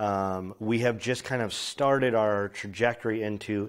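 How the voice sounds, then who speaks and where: At a moderate pace, a man speaks at a fairly low pitch on a very clean recording with a silent background. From US (born in Poland). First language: Polish. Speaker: film director. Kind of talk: interview. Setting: film festival. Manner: casual, with many fillers.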